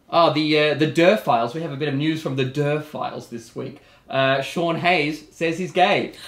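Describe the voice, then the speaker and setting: With an Australian accent, a man speaks at a moderate pace and a fairly high pitch. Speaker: TV talk show host. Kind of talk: casual talk show chat. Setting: studio. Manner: animated.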